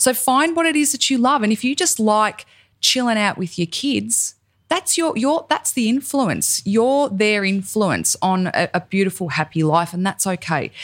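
A woman with an Australian accent speaks at a moderate pace in a fairly high pitch, her pitch swinging very widely. Her loudness stays very even in a very clean recording with a silent background. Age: 40s. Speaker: podcast host and cosmetics founder. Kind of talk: casual chat.

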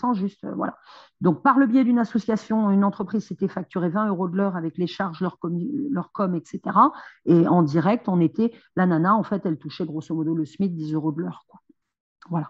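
A woman with a fairly low, somewhat breathy voice talks at a fairly quick pace with ordinary pitch variation, broken by long, frequent pauses. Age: 30s. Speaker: social worker and single mother. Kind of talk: interview testimony.

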